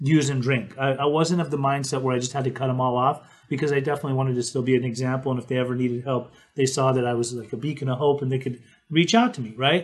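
With an American accent, a man speaks at a very fast pace in a somewhat breathy voice with fairly even intonation. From Utah, Salt Lake City. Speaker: podcast host, interventionist. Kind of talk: casual chat. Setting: live stream.

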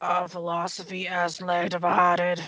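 This is a put-on character voice with a grumpy tone and middle pitch. It moves at a moderate pace in a flat monotone.

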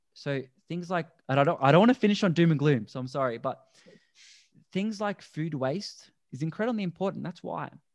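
At a fairly quick pace, a man with an Australian accent speaks with ordinary pitch variation over a quiet background. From Australia (Melbourne). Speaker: plant-based endurance athlete. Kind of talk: casual chat. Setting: video call.

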